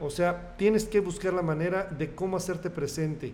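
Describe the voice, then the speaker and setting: A man speaks at a high pitch, with audible room echo around him. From central Mexico, State of Mexico. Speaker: radio station manager. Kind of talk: interview.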